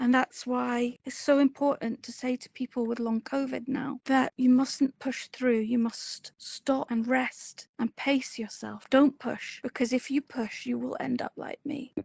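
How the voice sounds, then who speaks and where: In a Scottish accent, a woman speaks at a fairly slow pace and high pitch, with monotone, flat intonation and hardly any pauses. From Edinburgh, Scotland. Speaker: person living with ME/CFS, interview guest. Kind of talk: interview answer, personal health story.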